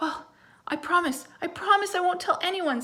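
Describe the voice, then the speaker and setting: A woman performs a put-on character voice. It sits at an extremely high pitch and moves at a moderate pace. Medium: read story.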